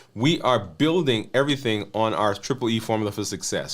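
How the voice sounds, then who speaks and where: Lively intonation from a man at a moderate pace, on a very clean recording with a silent background. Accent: Caribbean. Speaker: physician and health coach. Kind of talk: live stream talk to viewers. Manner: hesitant, with fillers.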